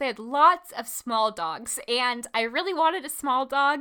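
A woman's raised, projected voice, high-pitched with a bright, sharp and animated tone, at a fairly slow pace on a very clean recording with a silent background. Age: 20s. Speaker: photography educator and podcast host. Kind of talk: casual chat.

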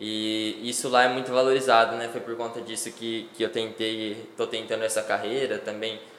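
Amid noticeable background noise and audible room echo, a man speaks at a moderate pace in a medium pitch with monotone, flat intonation. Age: 20s. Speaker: professional cyclist. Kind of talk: casual interview.

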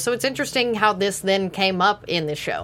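A woman's medium-pitched voice with ordinary pitch variation, an ordinary speaking voice, on a very clean recording over a silent background. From Texas. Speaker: TV after-show co-host. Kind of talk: casual chat.

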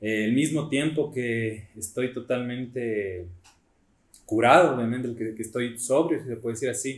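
At a moderate pace, a man uses a normal speaking voice with a medium pitch and ordinary pitch variation. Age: 20s. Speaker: church youth leader. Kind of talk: testimony.

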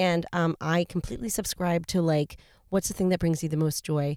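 Over a silent background in a very clean recording, a woman talks at a moderate pace with a fairly low pitch and a dark, mellow tone, the sound dry and close with no echo. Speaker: podcast host. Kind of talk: casual chat. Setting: in a car. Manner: casual, profane, laughing often.

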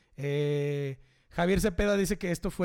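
This is a man speaking. His pitch is fairly high. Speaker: podcast host and DJ. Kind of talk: casual live show chat. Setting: home studio, live stream.

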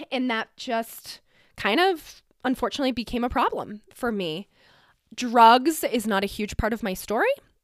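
A woman with a General American accent and an ordinary speaking voice talks at a moderate pace with a fairly high pitch and lively intonation, on a very clean recording with a silent background. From Colorado mountain town. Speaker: podcast host. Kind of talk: personal monologue.

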